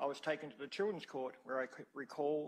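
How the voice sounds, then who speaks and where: With an Australian accent, the speaker keeps a fairly quick pace. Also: man. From Australia (Albury, NSW / Wodonga area). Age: 60s. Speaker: witness at a public inquiry. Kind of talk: reading a prepared statement aloud. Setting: hearing room. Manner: formal.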